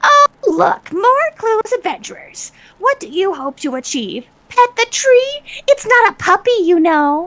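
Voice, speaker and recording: In a put-on character voice, the speaker uses an extremely high pitch with very wide pitch swings at a moderate pace. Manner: mocking.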